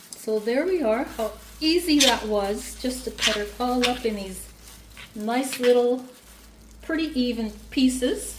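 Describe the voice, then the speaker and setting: A loud, high-pitched woman at a fairly slow pace, with long, frequent pauses, audible room echo and noticeable background noise. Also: ordinary pitch variation. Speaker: home cook. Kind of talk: cooking tutorial. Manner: casual, conversational. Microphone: external mic problems, sounds like shouting.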